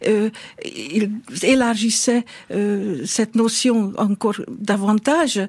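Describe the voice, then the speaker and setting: With a Hungarian accent, a woman talks at a fairly high pitch and with fairly even intonation. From Hungary. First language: Hungarian (speaking French). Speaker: historian. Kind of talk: radio interview. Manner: hesitant, many fillers.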